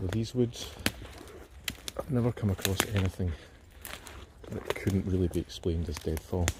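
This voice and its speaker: Against noticeable background noise, a man with a Scottish accent talks in a fairly low pitch. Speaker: outdoor vlogger, cryptid enthusiast. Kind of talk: casual walking vlog narration. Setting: outdoors in woodland.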